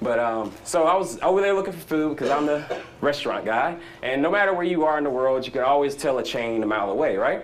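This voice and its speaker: A man with a Southern US accent speaks at a fairly high pitch with lively intonation. Audible room echo surrounds his voice. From US South. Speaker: startup founder. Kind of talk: conference talk. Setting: stage with audience. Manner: animated; fast.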